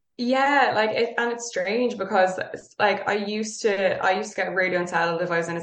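A woman with a Dublin accent talks at a fairly quick pace amid noticeable background noise and audible room echo. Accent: Dublin Irish. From Ireland, North Dublin. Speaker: yoga teacher. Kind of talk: casual chat.

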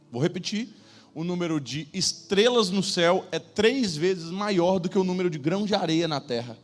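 With an animated tone, a man speaks at a high pitch and a moderate pace, his pitch varying an ordinary amount. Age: 30s. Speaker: preacher. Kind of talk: sermon. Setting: church stage with audience.

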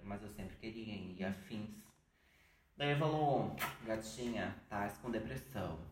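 Audible room echo and noticeable background noise are both present. Through them, a man speaks with pitch that varies in an ordinary way. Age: 20s. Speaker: podcast guest sharing depression experience. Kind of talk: casual chat.

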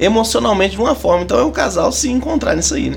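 Noticeable background noise sits beneath very fast speech. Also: man. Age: 30s. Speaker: church marriage counselor. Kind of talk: casual chat.

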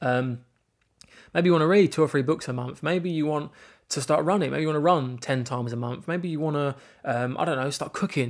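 On a very clean recording with a silent background, a man with an English accent speaks at a fairly quick pace, his fairly high pitch showing ordinary variation. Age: 20s. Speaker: podcast host. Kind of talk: personal monologue. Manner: halting.

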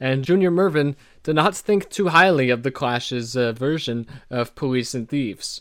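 At a moderate pace, a man with a fairly high pitch and lively intonation talks in an ordinary speaking voice. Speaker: podcast host. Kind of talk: casual chat about an album.

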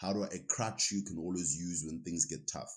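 A man speaks with a South African accent. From South Africa, Eastern Cape. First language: Xhosa. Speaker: recruitment headhunter and rugby player. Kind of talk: casual interview.

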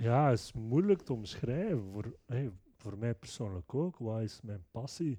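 This man's voice has a dark, mellow tone at medium pitch, with lively intonation, a fairly slow pace and big swings in loudness. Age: 30s. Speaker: podcast host, IT person. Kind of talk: casual interview chat. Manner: hesitant, many fillers.

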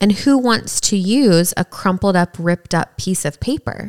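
Speaking very slowly in a Southern US accent, a woman uses a medium pitch and ordinary pitch variation, the sound dry and close with no echo. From East Tennessee. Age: 30s. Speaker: podcast co-host. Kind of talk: casual chat.

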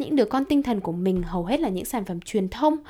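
A woman in a Hanoi accent, fairly high-pitched with a dark, mellow tone, lively intonation and a very fast pace, in a very clean recording with a silent background. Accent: Northern Vietnamese (Hanoi). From Hanoi, northern Vietnam. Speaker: podcast host. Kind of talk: solo podcast monologue, casual. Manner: very fast talker; casual, conversational.

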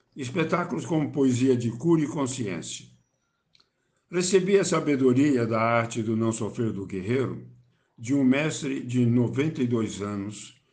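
Some room echo can be heard as a man speaks at a medium pitch with ordinary pitch variation. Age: 70s. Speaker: theatre actor and poet. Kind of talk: self-introduction.

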